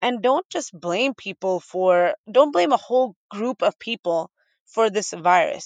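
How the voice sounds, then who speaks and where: In a dry, close recording with no echo and a quiet background, a woman with an American accent and a normal speaking voice speaks at a fairly slow pace with lively intonation. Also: fairly high pitch for a woman. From Boston area, Massachusetts. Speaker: radio host and podcaster. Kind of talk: interview conversation.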